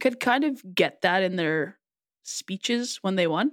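A woman talks in a plain, everyday voice at medium pitch and a moderate pace. The sound is dry and close, with no echo. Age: 30s. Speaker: podcast co-host. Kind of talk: casual chat.

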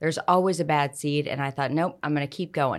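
On a very clean recording with a silent background, a woman with an American accent talks very fast at a very deep, low pitch. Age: middle-aged. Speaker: insurance agent. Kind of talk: interview conversation.

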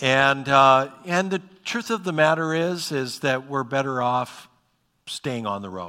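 This man has an Upper Midwest accent and a bright, sharp tone. He speaks at a fairly slow pace with ordinary pitch variation. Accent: Upper Midwest American. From North Dakota, Bismarck. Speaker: pastor. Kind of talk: sermon. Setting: church. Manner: halting, many fillers.

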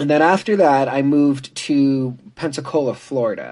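In a quiet background, a man with an American accent uses an ordinary speaking voice, fairly high in pitch with ordinary pitch variation. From US, military family (mainly Virginia Beach). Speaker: creative technologist. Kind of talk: interview.

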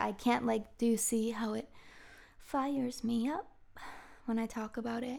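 Fairly high-pitched and moderately paced, a woman talks in an ordinary speaking voice. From Massachusetts, US (Marblehead near Boston). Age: 30s. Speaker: podcast host, acupuncturist and personal trainer. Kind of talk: casual monologue.

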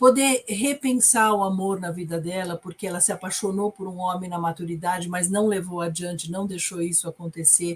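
Ordinary pitch variation marks a woman's unremarkable speaking voice, set at medium pitch and a moderate speed. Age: 50s. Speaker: psychotherapist. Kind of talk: casual film discussion livestream.

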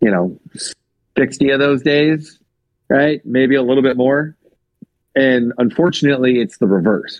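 A man at medium pitch speaks at a moderate pace with ordinary pitch variation, very even loudness and long, frequent pauses. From US West Coast (Seattle, then Sacramento area). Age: 30s. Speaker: strength coach. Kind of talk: casual interview. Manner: hesitant with frequent fillers.

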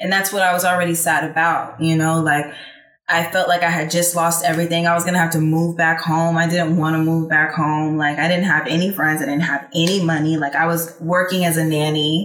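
A woman's fairly low voice with an American accent, fairly quick pace, flat monotone intonation and very even loudness, over background music. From Texas. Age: 20s. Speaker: singer and musician. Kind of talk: casual chat.

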